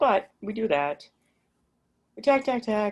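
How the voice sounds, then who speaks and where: Vocal fry marks this woman's speech, and her pitch swings very widely. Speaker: lighting designer. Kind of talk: interview. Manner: fast.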